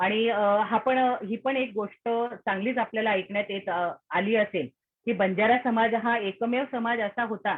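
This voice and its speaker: A woman with an ordinary speaking voice, fairly high in pitch and fairly even in intonation. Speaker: lecturer. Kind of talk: lecture.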